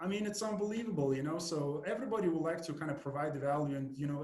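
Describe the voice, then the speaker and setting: A man speaks with a Lithuanian accent, and audible room echo hangs around his voice. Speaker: podcast host and marketing agency owner. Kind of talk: podcast interview. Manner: halting, with frequent repetitions and fillers.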